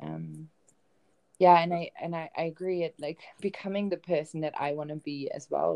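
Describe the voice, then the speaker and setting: A woman with a German accent speaks at a moderate pace in a very deep, low pitch, her tone dark and mellow, with ordinary pitch variation. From Germany, Bielefeld (northwest). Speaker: travel writer and self-love coach. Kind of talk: interview. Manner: hesitant, many filler ums.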